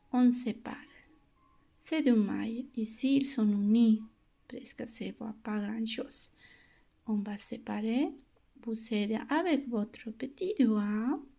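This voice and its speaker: Someone with a non-native accent speaks at a very slow pace, leaving long, frequent pauses. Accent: non-native French accent, self-noted. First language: not French (speaking French). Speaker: knitting instructor. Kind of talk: tutorial. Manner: slow, step-by-step; halting.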